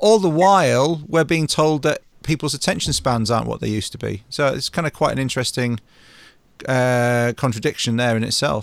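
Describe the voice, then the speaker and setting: With an unremarkable speaking voice at medium pitch, a man talks at a fairly quick pace with lively intonation. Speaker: podcast host. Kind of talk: interview conversation. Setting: video call.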